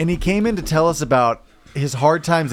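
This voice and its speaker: This man has an unremarkable speaking voice with ordinary pitch variation. He talks at a fairly quick pace. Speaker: podcast co-host. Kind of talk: casual chat.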